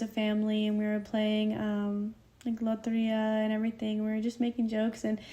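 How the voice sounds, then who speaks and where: A woman with an American accent talks at a fairly quick pace in a fairly high pitch. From Santa Rosa, California. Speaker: college student. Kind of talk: podcast interview. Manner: casual, many fillers.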